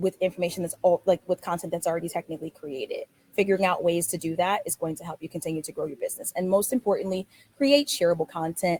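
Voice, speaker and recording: Somewhat breathy and medium-pitched, a woman talks at a very fast pace in a dry, close recording with no echo. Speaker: travel business owner. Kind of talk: webinar presentation. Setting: online webinar.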